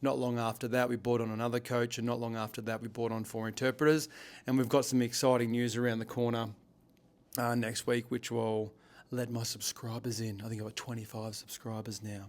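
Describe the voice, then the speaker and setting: Fairly quick, monotone delivery with flat intonation in an Australian accent. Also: man, medium pitch for a man. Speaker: business owner and leadership coach. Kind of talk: vlog monologue. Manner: halting, repeats words; slurring slightly.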